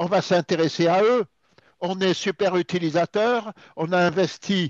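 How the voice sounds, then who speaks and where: A man talks at a very slow pace in a high pitch, with ordinary pitch variation. The background is quiet, and the sound is dry and close with no echo. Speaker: cybersecurity speaker. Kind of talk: presentation.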